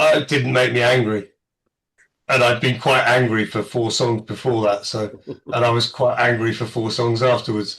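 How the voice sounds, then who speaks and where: His pitch sits at a medium level and his pace is moderate. The man's intonation stays monotone and flat. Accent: English. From England. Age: middle-aged. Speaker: podcast panelist. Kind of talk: casual chat. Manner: deadpan.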